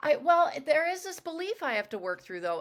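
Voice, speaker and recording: A woman's voice swings very widely in pitch, with noticeable background noise behind it. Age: 40s. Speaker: podcast host. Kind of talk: casual chat.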